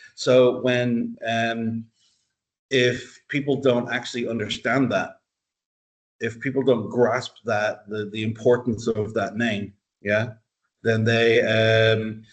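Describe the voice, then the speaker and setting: A man's monotone, flat delivery at a very slow pace, full of long, frequent pauses. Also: medium pitch for a man. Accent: Irish. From Dublin, Ireland. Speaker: university lecturer. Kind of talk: interview answer.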